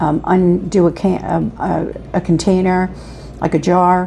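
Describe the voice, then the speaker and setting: Noticeable background noise accompanies a woman whose voice sits at a fairly low pitch. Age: 70s. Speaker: patient. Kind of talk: testimony.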